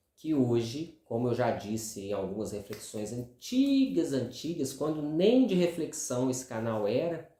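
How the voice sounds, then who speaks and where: A man is soft-spoken. He talks at a fairly slow pace. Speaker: video commentator. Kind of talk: monologue. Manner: casual. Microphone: no lapel mic, speaking without clip-on.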